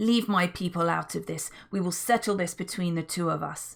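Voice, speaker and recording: Growling in a put-on character voice, a woman speaks at a medium pitch and a moderate pace on a very clean recording with a silent background. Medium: read story.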